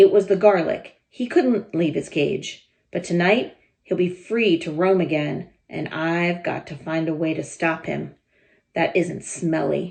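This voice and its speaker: A woman puts on a raspy character voice with a fairly low pitch. She speaks at a fairly slow pace. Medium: read story. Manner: scornful, bossy.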